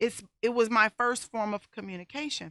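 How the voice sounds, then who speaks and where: A loud, high-pitched woman's voice with a bright, sharp tone, dry and close with no echo, on a very clean recording with a silent background. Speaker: talk show host and domestic violence survivor. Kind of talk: personal testimony and advice monologue. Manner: voice rises when excited.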